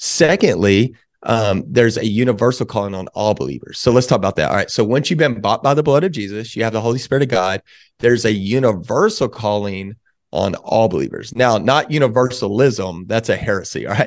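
A man with an American accent has an unremarkable speaking voice at medium pitch. He talks at a fairly quick pace with lively intonation over a quiet background. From Texas, Waco. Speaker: pastor and ministry leader. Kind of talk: casual interview chat.

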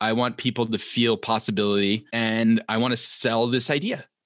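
A man's plain, everyday voice, medium in pitch, with an American accent, at a moderate pace, against a quiet background. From New York tri-state area. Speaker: TV writer and author. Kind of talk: interview.

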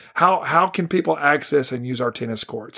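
At a moderate pace, a man talks with a Texan accent. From North Texas, Ellis County farm town. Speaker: school superintendent. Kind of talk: interview.

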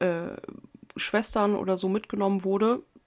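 At a moderate pace, a woman speaks with an unremarkable speaking voice, a medium pitch and fairly even intonation. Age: 30s. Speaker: podcast host, angler. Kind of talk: casual monologue. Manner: casual, many filler sounds.

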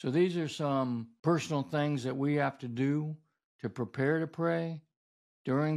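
An unremarkable speaking voice moves at a fairly slow pace with ordinary pitch variation. The recording is very clean, with a silent background. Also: man. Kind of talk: teaching sermon-style talk on prayer. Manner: earnest, instructive, explanatory.

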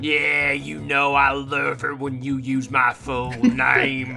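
Over clear background noise, a man with a Southern US accent speaks at a very slow pace. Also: medium pitch for a man. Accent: American Southern. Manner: smug, taunting.

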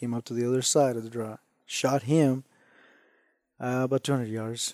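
The speaker has a Spanish accent and a moderate pace. The intonation is monotone and flat. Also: man. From Mexico. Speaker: hunter and ranch hand. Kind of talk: casual interview.

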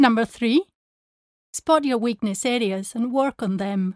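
Speaking at a fairly slow pace, a woman uses a fairly high pitch and lively intonation. The sound is dry and close with no echo, on a very clean recording with a silent background. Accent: Spanish. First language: Spanish. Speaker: language teacher. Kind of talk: tutorial. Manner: clear and measured.

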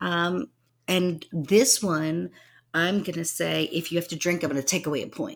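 A woman with a fairly low pitch and vocal fry talks at a moderate pace with ordinary pitch variation, in a very clean recording with a silent background. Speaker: podcast co-host. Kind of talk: casual chat.

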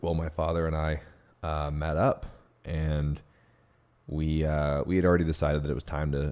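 With a very deep, low pitch, a man talks in a flat monotone. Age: 20s. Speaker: podcast host. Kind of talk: solo monologue podcast.

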